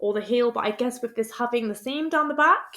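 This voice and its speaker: A woman speaks in a high voice with ordinary pitch variation and a British accent. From United Kingdom. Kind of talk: casual product review to camera. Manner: upbeat, chatty.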